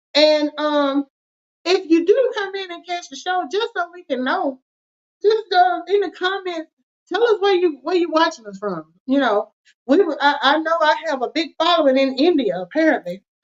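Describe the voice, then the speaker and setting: Speaking at a moderate pace with a Southern US accent, this woman's voice sits at an extremely high pitch, with lively intonation and big swings in loudness. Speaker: finance show co-host. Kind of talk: casual chat with call to action.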